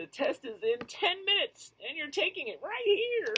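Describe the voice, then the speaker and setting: Mumbling in a put-on character voice, a man talks at a moderate pace with an extremely high pitch. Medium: read story. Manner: mumbling, fretful.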